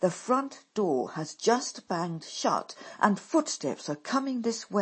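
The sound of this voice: The delivery is an unforced reading voice with lively intonation.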